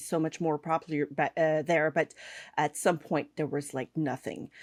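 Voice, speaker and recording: In a Quebec accent, a woman speaks at a fairly low pitch, the sound dry and close with no echo on a very clean recording with a silent background. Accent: French Canadian accent in English. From Quebec / French Canada. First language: French. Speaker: cake artist and online instructor. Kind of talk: podcast interview. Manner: halting, many fillers.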